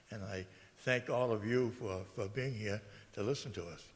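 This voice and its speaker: A man with an American accent speaks at a fairly quick pace, his voice somewhat breathy and his intonation fairly even. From Massachusetts, New Bedford. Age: 80s+. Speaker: local election candidate, military veteran. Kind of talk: candidate speech. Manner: halting, many fillers.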